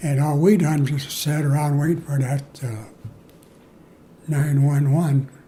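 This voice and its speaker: A man's fairly slow, somewhat breathy voice, dark and mellow in tone, pitched fairly high for a man. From Moline, Illinois, US Midwest. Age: 90s. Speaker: war veteran. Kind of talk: interview. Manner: halting.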